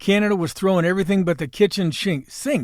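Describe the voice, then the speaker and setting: On a very clean recording with a silent background, a man with an American accent speaks at a moderate pace in a high pitch. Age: 60s. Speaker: podcast host. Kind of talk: scripted monologue. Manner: animated.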